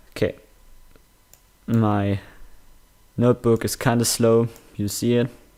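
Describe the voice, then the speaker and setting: Speaking in a German accent at a fairly slow pace, a man with a medium pitch and a dark, mellow tone keeps a monotone, flat intonation broken by long, frequent pauses. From Germany. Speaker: gaming tutorial youtuber. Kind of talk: screen-recorded tutorial. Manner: halting, many fillers.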